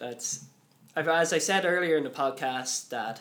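With a Dublin accent, a man talks at a fairly quick pace in a fairly high pitch, his intonation fairly even. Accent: Dublin Irish. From Ireland, Dublin. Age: 20s. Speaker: college worker, podcast guest with dyslexia. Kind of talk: interview. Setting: studio.

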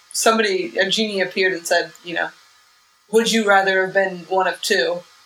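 A woman speaks at a fairly quick pace in a plain, everyday voice, her pitch medium with ordinary pitch variation. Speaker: comedian. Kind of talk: casual interview chat.

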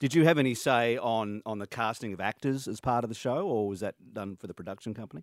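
With an Australian accent, a man talks at a very fast pace with hardly any pauses, on a very clean recording with a silent background and a dry, close sound with no echo. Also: medium pitch for a man, ordinary pitch variation. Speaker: radio host. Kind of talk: radio interview. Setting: studio. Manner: animated.

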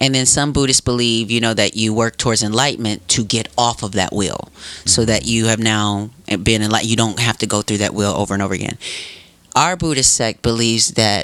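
A man with an American accent speaks at a medium pitch with fairly even intonation. He has a normal speaking voice. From Wisconsin (Racine). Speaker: podcast guest. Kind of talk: casual chat.

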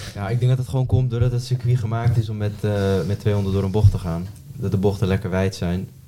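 A man's fairly low, dark and mellow voice, somewhat breathy, with fairly even intonation at a very fast pace. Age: 20s. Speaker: amateur road cyclist. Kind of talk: casual chat.

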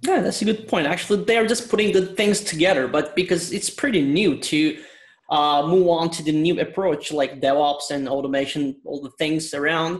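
With a Turkish accent, the man speaks at a high pitch with ordinary pitch variation. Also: moderate pace. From Turkey, Istanbul. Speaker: IT consultant. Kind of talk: casual interview.

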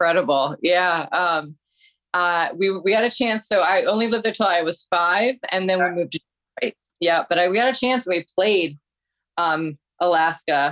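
A woman's ordinary speaking voice, fairly low in pitch, with ordinary pitch variation, very even loudness, a moderate pace and a dry, close sound with no echo. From Detroit, Michigan. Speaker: metal singer and personal trainer. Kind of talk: casual chat.

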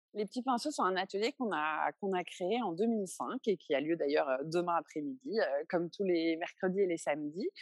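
Her voice is an unremarkable speaking voice, fairly low for a woman, with lively intonation. The sound is dry and close with no echo. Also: moderate pace. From France, Paris. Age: 30s. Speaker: museum founder and art advocate. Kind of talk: interview.

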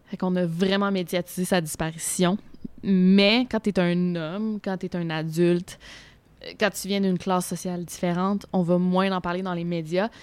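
Her voice is medium in pitch, delivered at a moderate pace with monotone, flat intonation. The recording is very clean, with a silent background. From Quebec City. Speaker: youtuber on unsolved crimes. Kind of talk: casual chat. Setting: restaurant.

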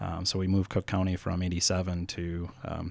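This man has a very deep, low pitch and talks at a moderate pace. His recording is very clean, with a silent background. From northeastern Minnesota. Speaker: broadband cooperative partnership manager. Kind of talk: interview. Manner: halting, many fillers.

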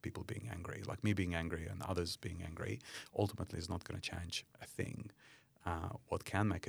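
Somewhat breathy, a man speaks at a very deep, low pitch with ordinary pitch variation. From Ukraine. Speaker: company CEO and charity founder. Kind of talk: interview.

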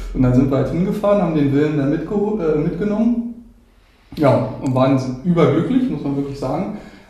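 Audible room echo surrounds a man who talks at a fairly quick pace, his fairly high voice carrying lively intonation. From Brandenburg, Germany. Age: 30s. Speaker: dog owner. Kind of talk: casual interview.

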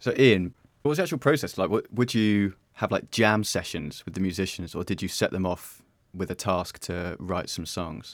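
A man speaks in a plain, everyday voice at a fairly low pitch and moderate pace. His intonation is lively. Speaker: podcast host. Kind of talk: scripted intro and interview.

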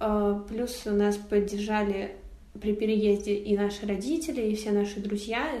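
A woman speaks at a fairly slow pace with fairly even intonation, and audible room echo surrounds her voice. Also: medium pitch for a woman. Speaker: photographer. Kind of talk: interview. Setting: remote call.

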